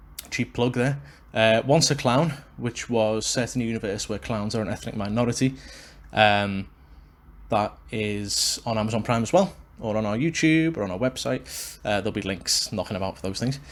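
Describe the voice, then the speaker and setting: In a Liverpool accent, a man of medium pitch talks at a moderate pace. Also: ordinary pitch variation. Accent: Liverpool (Scouse). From Liverpool, England. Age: 20s. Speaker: wrestling podcaster and actor. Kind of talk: solo podcast monologue. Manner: casual with many fillers.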